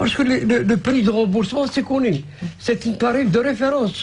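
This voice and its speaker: Over noticeable background noise, a man with an extremely high pitch speaks at a fairly quick pace with ordinary pitch variation. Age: 60s. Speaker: patient association president. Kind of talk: radio interview. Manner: halting.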